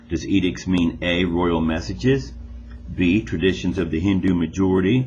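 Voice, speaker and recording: Very deep, low male voice with lively intonation, a fairly slow pace and audible room echo. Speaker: school teacher. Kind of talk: recorded classroom test instructions.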